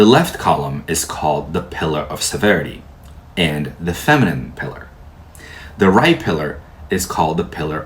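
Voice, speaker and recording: Somewhat breathy and with lively intonation, a man talks at a moderate pace in audible room echo. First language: Portuguese. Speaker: tarot teacher. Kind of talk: lecture.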